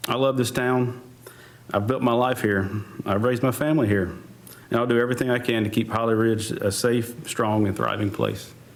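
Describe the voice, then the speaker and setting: Speaking with an American accent at a fairly quick pace, a man holds a medium pitch and fairly even intonation at very even loudness, with audible room echo. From US South, North Carolina. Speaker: fire chief, town council candidate. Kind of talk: candidate forum opening statement.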